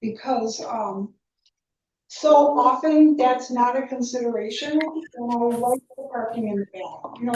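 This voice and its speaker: A woman's high-pitched voice with a dark, mellow tone, a fairly slow pace and ordinary pitch variation. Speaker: local business owner speaking at public comment. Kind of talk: public comment at town meeting. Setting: town planning board meeting. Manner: enthusiastic.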